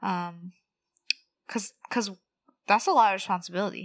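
In a very clean recording with a silent background, a woman with an American accent speaks at a medium pitch with fairly even intonation. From California, San Fernando Valley. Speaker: medical resident, podcast co-host. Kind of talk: casual chat.

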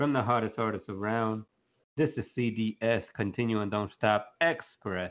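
An ordinary speaking voice from a man, medium in pitch, with an American accent and fairly even intonation. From North Carolina, US. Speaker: radio show host. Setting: live online radio broadcast.

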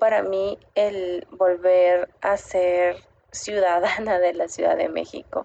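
A woman talks at a very slow pace in a dark, mellow tone. Her intonation is monotone and flat. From Mexico City. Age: 30s. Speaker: expat sharing her experience. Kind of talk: recorded personal testimony.

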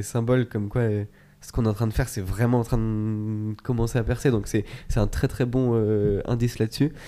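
A man's dark, mellow voice at a medium pitch and moderate pace. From France, Chamonix (Alps). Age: 20s. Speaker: data scientist, sports performance analyst. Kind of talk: interview conversation. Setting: recording in Grenoble.

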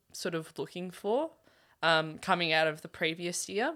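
In a very clean recording with a silent background, a voice with an Australian accent has a bright, sharp tone. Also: woman. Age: young. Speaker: university student and runner. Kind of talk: casual chat.

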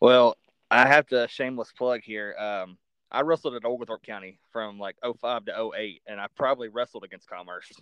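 Using a Southern accent, a man speaks at a medium pitch and a moderate pace with ordinary pitch variation. His loudness swings widely, and the sound is dry and close with no echo. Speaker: podcast host. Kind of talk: casual interview.

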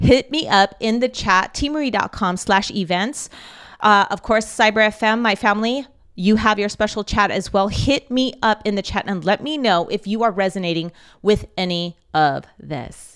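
A woman speaks in an ordinary speaking voice at a medium pitch and moderate pace, with ordinary pitch variation, on a very clean recording with a silent background. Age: 40s. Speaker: spiritual life coach. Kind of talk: live-streamed faith talk. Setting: live broadcast.

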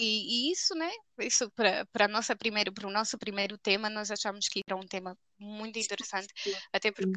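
A woman's fairly high, bright, sharp voice at a moderate pace, with fairly even intonation and dry, close sound free of echo. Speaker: podcast co-host. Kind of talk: casual chat. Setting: remote recording.

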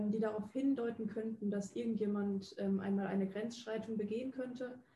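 A woman with a fairly high voice speaks at a moderate pace in monotone, flat intonation. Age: 20s. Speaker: psychology student and podcast host. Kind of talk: scripted narration; interview questions.

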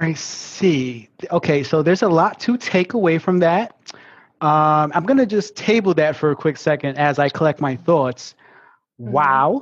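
This man speaks with a Brooklyn accent and a fairly high pitch. His pace is fairly slow and his loudness stays very even. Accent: Brooklyn New York. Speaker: podcast host. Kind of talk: panel discussion, casual chat.

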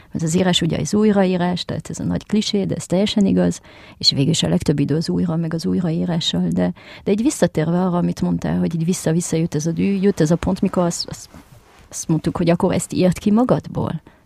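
The speaker is a woman with a French accent. She talks at a very fast pace. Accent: French-tinged Hungarian. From France. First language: French (speaking Hungarian). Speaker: screenwriter and choreographer. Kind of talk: casual chat.

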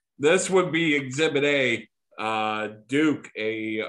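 A man is speaking. The background is quiet. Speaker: podcast host. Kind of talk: casual chat. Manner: informal, chatty.

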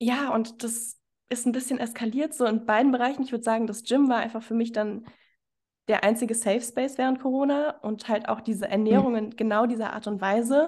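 An ordinary speaking voice moves at a fairly quick pace with fairly even intonation over a quiet background. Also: woman, fairly high pitch for a woman. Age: 20s. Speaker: fitness coach. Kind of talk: interview.

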